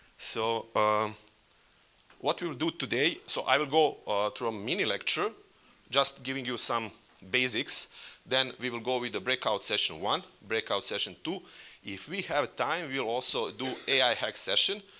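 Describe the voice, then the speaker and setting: A man with a Serbian accent speaks in a medium pitch and bright, sharp tone at a moderate pace, his intonation lively and his pauses long and frequent. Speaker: workshop facilitator. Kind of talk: conference workshop presentation. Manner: halting.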